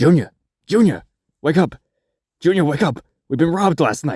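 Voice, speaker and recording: Putting on a raspy character voice, a man speaks at a moderate pace in a fairly high pitch with ordinary pitch variation. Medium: cartoon. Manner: gruff, sarcastic, exasperated.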